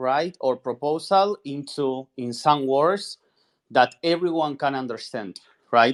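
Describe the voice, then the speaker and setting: The speaker talks at a very slow pace in a Spanish accent. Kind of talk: expert discussion on video call. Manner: halting, repeats words.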